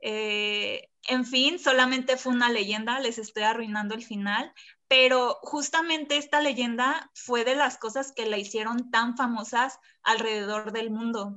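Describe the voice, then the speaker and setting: Her pitch is high for a woman and her intonation fairly even. She talks at a fairly slow pace. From Colima, Mexico. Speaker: architecture student. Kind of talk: casual chat.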